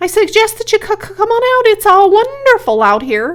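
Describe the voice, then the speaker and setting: Squeaky and put-on, the character voice moves at a moderate pace. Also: female-sounding voice. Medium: read story. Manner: fast, repetitive, stammering.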